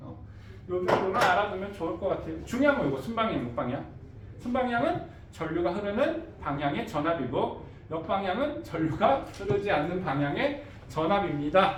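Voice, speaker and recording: Amid noticeable background noise and audible room echo, a man with a high-pitched voice speaks in an animated tone, his pitch swinging very widely. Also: moderate pace. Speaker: science teacher. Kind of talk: classroom lecture. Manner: casual, animated.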